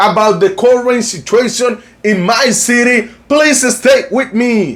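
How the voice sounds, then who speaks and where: A man talks with a Colombian accent. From Cartagena, Colombia. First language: Spanish. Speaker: tour agency owner. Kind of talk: casual talk to camera. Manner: upbeat.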